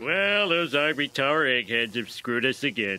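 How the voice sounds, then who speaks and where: A man does a cartoonish character voice at a medium pitch and a fairly quick pace. Background noise is clearly heard. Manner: blustery.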